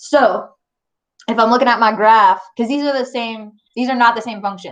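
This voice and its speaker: At a moderate pace, a woman speaks in an animated tone. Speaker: math teacher. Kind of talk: live online review lesson. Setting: online class with screen share. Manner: casual, chatty; loud, animated.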